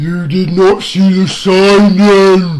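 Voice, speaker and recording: A man's put-on character voice, guttural and high in pitch. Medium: read story. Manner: contemptuous, malign, veiled menace.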